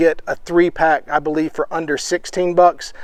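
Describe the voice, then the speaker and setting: A man with a Southern US accent and a fairly high pitch talks at a fairly quick pace over noticeable background noise. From US South. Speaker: outdoor vlogger and parent. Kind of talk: gear review tutorial. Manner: casual, frequent filler words.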